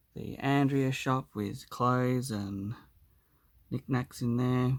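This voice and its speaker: At a very slow pace and in a relaxed tone, the voice shows ordinary pitch variation on a very clean recording with a silent background. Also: man. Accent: Australian. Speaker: hobbyist model builder. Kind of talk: casual video walkthrough. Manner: relaxed, hesitant with fillers.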